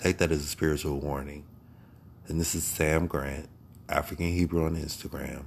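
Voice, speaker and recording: A man's very deep, low voice with an American accent and vocal fry, monotone and flat at a moderate pace, broken by long, frequent pauses. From Ohio, US Midwest. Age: 40s. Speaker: podcaster. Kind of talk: solo spiritual monologue. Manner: halting.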